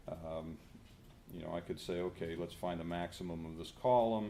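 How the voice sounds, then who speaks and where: A man with a Pittsburgh accent, very fast pace and fairly even intonation. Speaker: professor. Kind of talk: conference presentation with live software demo.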